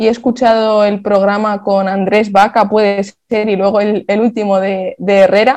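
In a northern Spanish accent, a woman speaks at medium pitch. Her intonation is monotone and flat, and her pace is moderate. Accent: Castilian Spanish (northern Spain). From Spain, Basque Country (Vitoria). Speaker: football analyst. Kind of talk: casual chat.

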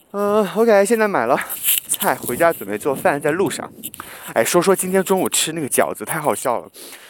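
Lively intonation from a man with a high pitch. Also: moderate pace. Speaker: podcast host. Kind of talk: casual vlog-style monologue while cooking. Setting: walking outdoors to and from supermarket. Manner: casual, with many fillers. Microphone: muffled by face mask.

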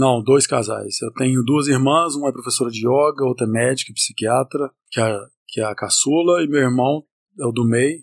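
The sound is dry and close with no echo. A man talks at medium pitch and a moderate pace, with fairly even intonation. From Northern Minas Gerais, Brazil (Montes Claros). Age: 40s. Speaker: chef and entrepreneur. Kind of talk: casual chat. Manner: interrupts often.

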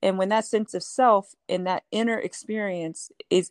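In an unremarkable speaking voice, a woman with an American accent talks at a fairly slow pace with ordinary pitch variation, the sound dry and close with no echo and the background quiet. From Houston, Texas. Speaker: author. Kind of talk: casual interview.

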